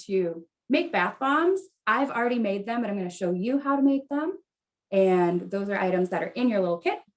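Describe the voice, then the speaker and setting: Speaking in a plain, everyday voice with an American accent. The pace is moderate and the intonation lively. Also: woman. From US Midwest, Wisconsin. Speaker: event coordinator and host. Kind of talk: virtual event hosting.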